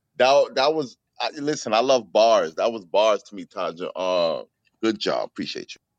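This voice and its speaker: Recorded dry and close with no echo, a man with a New York accent speaks with big swings in loudness. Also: moderate pace. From New York, Bronx. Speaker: co-host of poetry open mic. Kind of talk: casual chat and poetry critique. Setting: online audio room.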